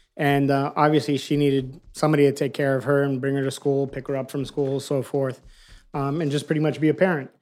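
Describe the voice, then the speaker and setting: A man with an American accent races along at a very fast pace in a fairly high, monotone, flat voice. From Miami, Florida. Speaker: food truck owner. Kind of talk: casual chat.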